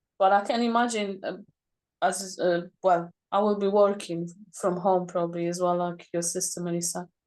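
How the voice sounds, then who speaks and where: The speaker has a non-native accent, a moderate pace and fairly even intonation. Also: woman. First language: not English. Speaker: parent planning to homeschool. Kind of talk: group video call discussion. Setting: video call. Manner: halting.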